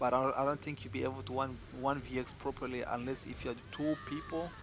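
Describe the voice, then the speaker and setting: A man speaks in a non-native accent at a fairly quick pace. His pitch is fairly high. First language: not English. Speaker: gaming streamer. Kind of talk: game build tutorial. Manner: casual, repetitive with fillers.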